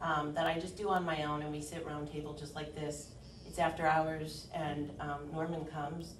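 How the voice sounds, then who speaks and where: A woman speaks at a very deep, low pitch. Noticeable background noise and audible room echo surround her voice. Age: 40s. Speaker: insurance agent. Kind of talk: workshop presentation. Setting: meeting room, round table.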